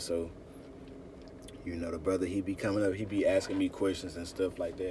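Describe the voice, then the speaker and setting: The voice has a dark, mellow tone and is somewhat breathy. It moves at a fairly quick pace. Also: man. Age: 20s. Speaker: religious teacher. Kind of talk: sermon. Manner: animated.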